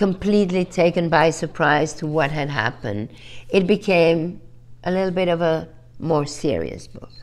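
A woman's fairly low voice with vocal fry, ordinary pitch variation and a moderate pace. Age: 70s. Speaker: fashion designer and author. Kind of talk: interview answer. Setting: video call. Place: home room.

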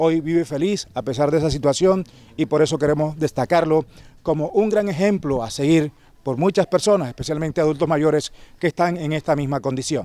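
At a fairly quick pace, a man speaks in a dark, mellow tone with ordinary pitch variation and a dry sound with no echo. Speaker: TV news reporter. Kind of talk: news report stand-up. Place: street. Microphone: handheld.

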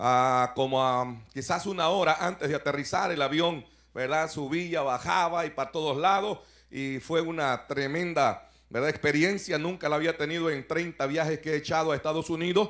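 A man's voice shows ordinary pitch variation, with the background quiet behind him. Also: moderate pace. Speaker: pastor preaching. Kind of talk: sermon. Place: hall. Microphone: handheld.

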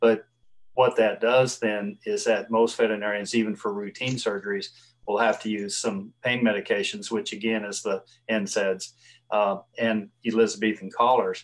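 In a Southern US accent, the speaker talks at a moderate pace with monotone, flat intonation. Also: man. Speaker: veterinarian. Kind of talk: interview. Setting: video call.

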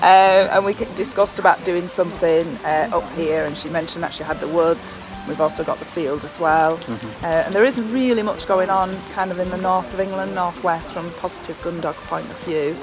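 Clear music plays in the background as the speech moves at a fairly quick pace. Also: woman, ordinary pitch variation. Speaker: interviewee. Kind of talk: interview answer. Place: forest.

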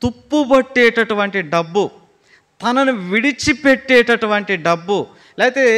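A man speaks in a raised, projected voice with a bright, sharp tone. His pitch varies in an ordinary way against a quiet background. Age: 30s. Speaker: pastor; preacher. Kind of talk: sermon. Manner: repetitive, emphatic. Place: church. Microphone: podium.

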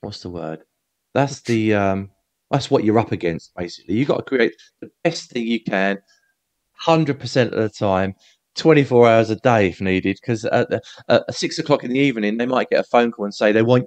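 Over a quiet background, the speaker goes at a fairly quick pace with ordinary pitch variation. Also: man. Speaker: remote podcast guest. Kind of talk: interview answer. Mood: animated, good-humoured. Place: home room. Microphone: headset.

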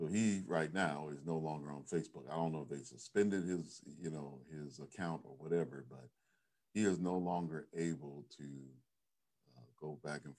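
Against a quiet background, a man speaks at a moderate pace with a very deep, low pitch and ordinary pitch variation. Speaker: pastor. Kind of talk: sermon. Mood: earnest, cautionary. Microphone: webcam.

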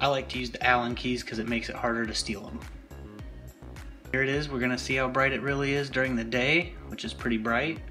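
Over background music, a man speaks at a fairly quick pace with lively intonation. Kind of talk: tutorial narration.

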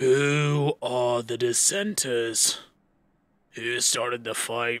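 Very slowly and quietly, a man delivers a put-on character voice at a medium pitch. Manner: quiet, menacing.

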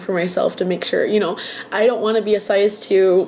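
Light background noise sits behind a woman speaking at a moderate pace and medium pitch. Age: 20s. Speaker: vlogger. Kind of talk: personal video diary. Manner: casual, hesitant with fillers. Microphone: webcam.

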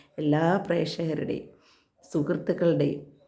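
A woman's very deep, low voice, dark and mellow in tone, with monotone, flat intonation and audible room echo. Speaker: ASHA health worker and vlogger. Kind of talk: personal vlog appeal.

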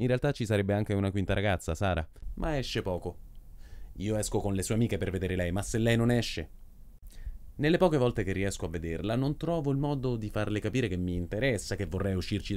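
Very wide pitch swings mark a man's speech, delivered at a very fast pace. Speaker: actor. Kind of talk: comic theatre monologue. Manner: brash, self-assured. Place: hall.

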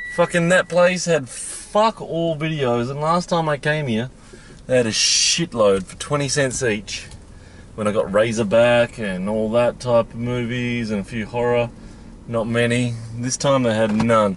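A man speaks at a fairly slow pace with lively intonation. The sound is dry with no echo, over light background noise. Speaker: thrift reseller vlogger. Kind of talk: casual vlog chat. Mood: annoyed, swearing frustration. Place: car. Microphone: phone near.

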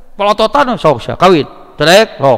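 Against a quiet background, a man with a high voice talks at a moderate pace. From West Java, Indonesia. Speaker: Islamic preacher. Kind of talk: sermon. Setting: mosque. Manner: conversational, bantering with audience. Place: hall. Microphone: podium.

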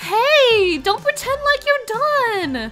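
A squeaky, female-sounding put-on character voice sits at an extremely high pitch, with faint music playing in the background.

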